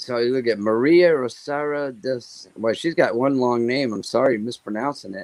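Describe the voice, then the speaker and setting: Recorded very cleanly against a silent background, a man uses an ordinary speaking voice at a moderate pace, medium in pitch with ordinary variation and hardly any pauses. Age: 60s. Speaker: regular chat guest. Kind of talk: casual chat.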